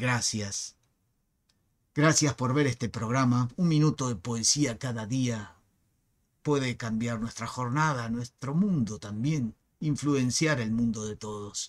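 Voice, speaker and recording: A man speaks very slowly in a dramatic tone, his pitch varying in an ordinary way. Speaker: poetry reader and channel host. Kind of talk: poem reading, slow and expressive, after a spoken biographical introduction. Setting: home recording, screen-recorded video. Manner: measured, slow, dramatic and intimate delivery; reflective, with pauses and some hesitations. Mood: expressive, declamatory. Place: home room. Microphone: webcam.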